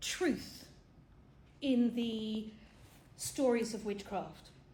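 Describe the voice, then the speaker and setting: A dark, mellow tone in a British accent at a very slow pace, with audible room echo. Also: woman. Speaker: film talk presenter. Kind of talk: lecture. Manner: animated.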